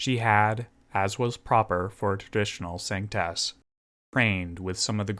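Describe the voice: The speaker is plainly reading aloud. The background is quiet.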